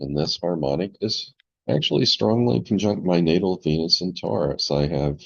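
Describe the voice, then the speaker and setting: Vocal fry marks this man's fairly slow delivery, which has ordinary pitch variation. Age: 70s. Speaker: astrologer. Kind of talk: tutorial. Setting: screen-share recording.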